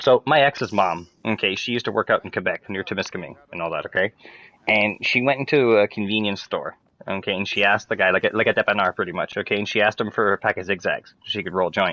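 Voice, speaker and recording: Very fast and with a strong French Canadian accent, a man speaks in a fairly low pitch with a bright, sharp tone and ordinary pitch variation, the sound dry and close with no echo. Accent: thick French-Canadian. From Eastern Ontario, Canada (Hawkesbury, bilingual area). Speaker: gaming livestreamer. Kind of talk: casual chat while gaming livestream.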